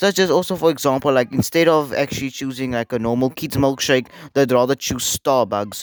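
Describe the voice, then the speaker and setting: Heard in a dry, close sound with no echo, a man talks at a moderate pace with a South African accent. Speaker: YouTuber, internet commentator. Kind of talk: casual commentary video. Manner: halting, many fillers.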